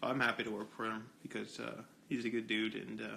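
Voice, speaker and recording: Quiet and fairly quick, a man talks in a bright, sharp tone with vocal fry. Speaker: livestreamer. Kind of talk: casual livestream chat. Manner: quiet, low.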